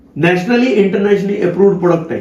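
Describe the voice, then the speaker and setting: Ordinary pitch variation, with audible room echo and noticeable background noise. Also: man. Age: 60s. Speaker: organic farming promoter. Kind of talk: sales pitch; persuasive conversation.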